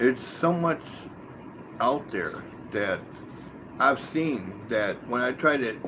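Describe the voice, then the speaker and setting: Behind this man's voice there is noticeable background noise. His pitch sits in the medium range. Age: 60s. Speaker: live streamer, cryptid hunter. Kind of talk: live stream monologue. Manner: halting, with many repetitions.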